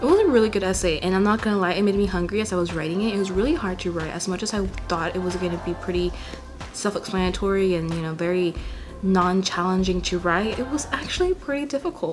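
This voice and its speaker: A woman with an American accent at a very fast pace, medium pitch and ordinary pitch variation, with audible room echo and music in the background. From California Central Valley. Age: 20s. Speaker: vlogger. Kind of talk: casual vlog monologue. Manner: casual, hesitant with fillers.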